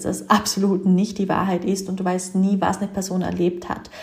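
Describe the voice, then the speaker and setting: Over noticeable background noise, a woman speaks in a monotone, flat voice. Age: 20s. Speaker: business coach and podcast host. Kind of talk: solo podcast monologue.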